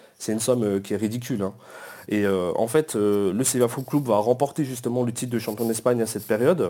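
Very fast male speech at a medium pitch, with ordinary variation in pitch. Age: 30s. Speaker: football club supporters' group president. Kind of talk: casual chat.

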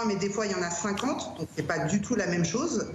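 A woman talks at a fairly slow pace. There is noticeable background noise and audible room echo. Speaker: youth worker. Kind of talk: interview testimony. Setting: video call. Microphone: Skype call audio.

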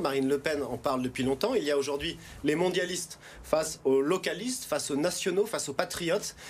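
Noticeable background noise sits behind a man talking at a fairly quick pace. His pitch is fairly high, with ordinary variation. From France, Haute-Savoie. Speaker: regional election candidate, politician. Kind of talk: political TV interview.

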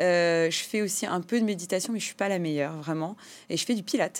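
A woman with a fairly low voice and ordinary pitch variation is heard in a very clean recording with a silent background. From France, Compiègne, Portuguese immigrant parents. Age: 30s. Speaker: entrepreneur. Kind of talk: interview. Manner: hesitant, many repetitions and fillers.

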